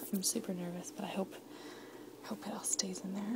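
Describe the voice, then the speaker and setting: Noticeable background noise sits under the voice. The speech moves at a very fast pace. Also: woman. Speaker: home baker vlogger. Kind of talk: casual baking vlog.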